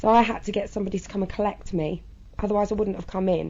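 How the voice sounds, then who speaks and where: A woman speaks very fast in a southern English accent. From southern England. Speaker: interviewee sharing personal experience. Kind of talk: interview testimony. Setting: interview in a children's centre room. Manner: halting.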